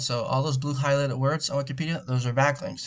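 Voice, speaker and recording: A man with a medium pitch speaks in a somewhat breathy voice. His pace is fairly quick, with fairly even intonation. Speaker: SEO marketer. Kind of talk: screen-recorded sales pitch. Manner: fast; casual with fillers.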